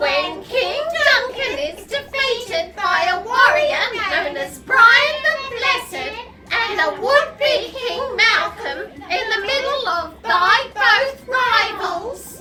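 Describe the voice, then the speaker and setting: In a put-on character voice, a female-sounding speaker talks very slowly at an extremely high pitch. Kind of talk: radio comedy drama.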